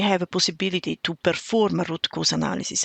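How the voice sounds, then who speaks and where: A woman speaks fairly quickly, with vocal fry in her voice. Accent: Italian. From Italy. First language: Italian. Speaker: railway cybersecurity expert. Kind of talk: podcast interview.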